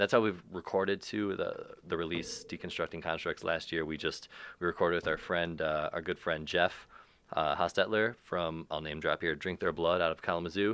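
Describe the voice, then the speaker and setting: Over a quiet background, a man with a very deep, low voice talks at a fairly quick pace with fairly even intonation. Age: 30s. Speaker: metal band musician. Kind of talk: casual chat.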